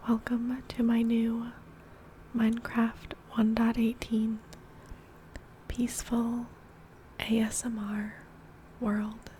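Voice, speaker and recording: A soft-spoken woman with a fairly high pitch and a calm, gentle tone, flat monotone intonation, a very slow pace with long, frequent pauses, and noticeable background noise. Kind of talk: ASMR gameplay commentary, ear to ear soft speaking. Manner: soft-spoken, calm, gentle.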